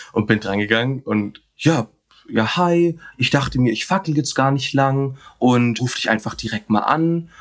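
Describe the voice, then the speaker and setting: A man with a normal speaking voice talks at medium pitch. His pace is fairly slow, with ordinary pitch variation. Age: 20s. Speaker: podcast guest sharing dating story. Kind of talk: casual interview storytelling. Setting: remote video call.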